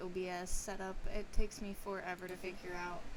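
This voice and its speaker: Soft-spoken and lively in intonation, a woman talks at a fairly quick pace with audible room echo and noticeable background noise. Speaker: video game streamer. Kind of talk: casual live-stream chat. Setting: live stream at home.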